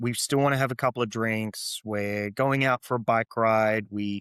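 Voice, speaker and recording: In a very clean recording with a silent background, a man with an Australian accent speaks in a monotone, flat intonation with a dry, close sound and no echo. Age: 40s. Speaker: beverage entrepreneur. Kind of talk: interview conversation.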